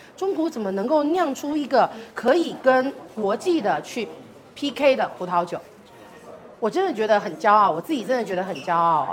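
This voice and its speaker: Over noticeable background noise, a woman with a fairly high pitch talks at a moderate pace with long, frequent pauses. Her pitch swings very widely. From Taiwan. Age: 40s. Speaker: wine brand marketing director. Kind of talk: wine tasting presentation. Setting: live event with audience.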